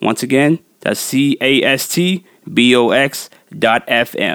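Here is a man with a normal speaking voice, fairly high in pitch and lively in intonation. The sound is dry and close, with no echo. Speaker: music podcast host and DJ. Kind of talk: podcast hosting with mix show and interview. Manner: casual, laughs often, conversational.

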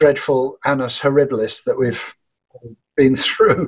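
This man has an unremarkable speaking voice, fairly high in pitch. He speaks at a fairly slow pace. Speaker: folk and Americana musician. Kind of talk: interview.

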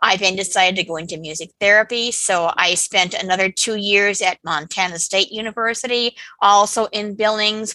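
The voice has a bright, sharp tone and fairly even intonation at a moderate pace, with hardly any pauses. The sound is dry and close, with no echo. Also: woman, medium pitch for a woman. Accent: American. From Wyoming, US. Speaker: author. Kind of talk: interview.

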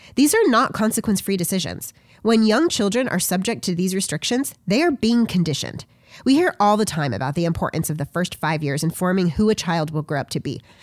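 Very fast speech from a woman at medium pitch, with very wide pitch swings, on a very clean recording with a silent background. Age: 30s. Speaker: podcast host and substitute teacher. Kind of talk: solo commentary monologue. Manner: formal.

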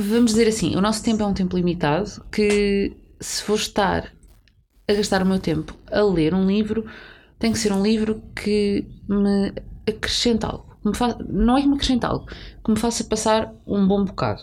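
A woman with a plain, everyday voice speaks at a medium pitch and moderate pace with fairly even intonation. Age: 30s. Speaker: podcast co-host. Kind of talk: casual chat.

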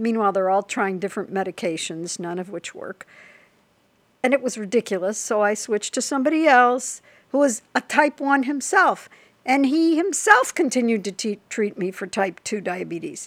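With a normal speaking voice and an American accent, a woman talks at a moderate pace in a fairly high pitch, her intonation lively. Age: 60s. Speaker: person with type one diabetes. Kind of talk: interview, personal storytelling.

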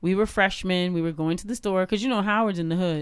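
In a normal speaking voice with an American accent, the speaker keeps a fairly even intonation on a very clean recording with a silent background. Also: woman. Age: 40s. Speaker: cultural activist and podcaster. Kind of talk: casual chat.

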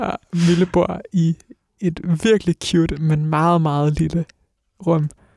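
Dark and mellow in tone, the voice moves at a very slow pace with monotone, flat intonation and a dry, close sound with no echo. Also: man. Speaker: radio host. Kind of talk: casual chat. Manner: hesitant, filler words.

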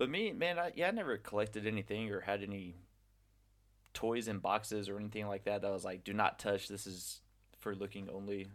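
In a very clean recording with a silent background, a man with an unremarkable speaking voice and a fairly low pitch talks at a fairly quick pace with ordinary pitch variation. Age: 30s. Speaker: podcast host, English teacher. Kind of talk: casual chat.

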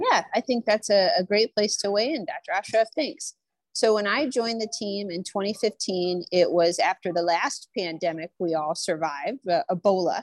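A woman speaks at a moderate pace in a plain, everyday voice, medium in pitch, with lively intonation and a dry, close sound with no echo. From Nebraska. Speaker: infection preventionist. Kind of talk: panel discussion.

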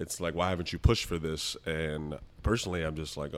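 Over a very clean recording with a silent background, a man speaks with an American accent. He talks at a fairly quick pace. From US Northeast, the Bronx, New York City. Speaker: lawyer. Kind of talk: casual chat.

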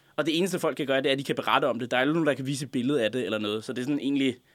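A man's fairly high voice at a very fast pace, with ordinary pitch variation and a very clean recording against a silent background. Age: 20s. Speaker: radio show guest, former contributor. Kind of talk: casual chat. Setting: studio.

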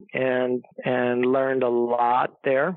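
A man speaks with an American accent. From US Midwest, Chicago suburbs. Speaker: pharmacist. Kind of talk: interview. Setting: at home.

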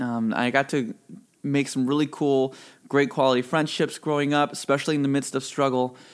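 A man talks at a fairly quick pace with a fairly high pitch and monotone, flat intonation. His loudness stays very even on a very clean recording with a silent background. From Mississippi. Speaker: church youth leader. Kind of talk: casual interview.

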